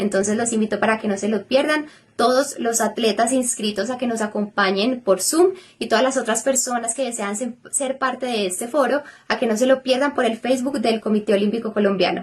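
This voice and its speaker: A woman's unremarkable speaking voice, fairly high in pitch, at a fairly quick pace with ordinary pitch variation. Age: 20s. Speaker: olympic artistic swimmer. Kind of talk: promotional announcement.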